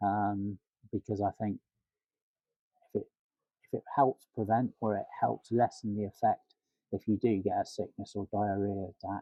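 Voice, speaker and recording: Long pauses come often as this man talks. His pace is moderate. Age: 60s. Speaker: cancer patient undergoing chemotherapy. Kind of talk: interview answer.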